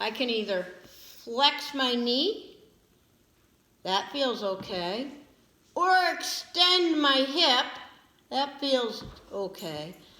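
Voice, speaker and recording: A raised, projected voice with very wide pitch swings, a very slow pace, long, frequent pauses and audible room echo. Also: woman, high pitch for a woman. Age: 60s. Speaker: physical therapy instructor. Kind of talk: lecture.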